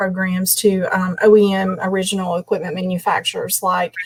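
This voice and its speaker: A woman with an East Tennessee accent, flat monotone intonation, a moderate pace, and noticeable background noise. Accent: East Tennessee Southern. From East Tennessee, Morristown. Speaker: business executive. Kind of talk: panel discussion.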